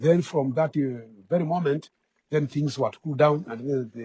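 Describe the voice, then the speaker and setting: A man with a fairly high pitch and a dark, mellow tone sounds somewhat breathy as he speaks at a moderate pace. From Kenya. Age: old. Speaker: community elder. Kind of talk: interview answer. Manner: hesitant, repetitive.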